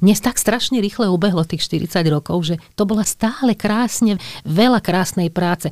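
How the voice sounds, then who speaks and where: A woman with a plain, everyday voice at a moderate pace. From western Slovakia, Skalica area. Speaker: opera singer. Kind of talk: interview.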